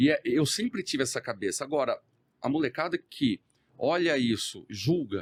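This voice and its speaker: Dry and close with no echo, a man's fairly high voice carries vocal fry and very wide pitch swings. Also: moderate pace. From Brazil, countryside (interior). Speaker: entrepreneur. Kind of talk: podcast interview.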